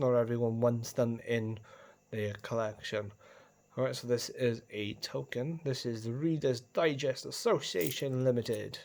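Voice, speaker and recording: A man with a Welsh accent talks at a medium pitch. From Wales. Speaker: coin collector video host. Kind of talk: casual show-and-tell video. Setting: at home, on the carpet.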